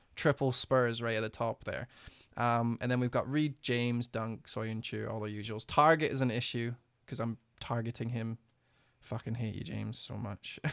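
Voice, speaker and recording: An ordinary speaking voice at a moderate pace with fairly even intonation, dry and close with no echo, in a very clean recording with a silent background. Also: man, medium pitch for a man. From Canada, Ontario. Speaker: fantasy football streamer. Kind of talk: casual chat. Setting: live stream.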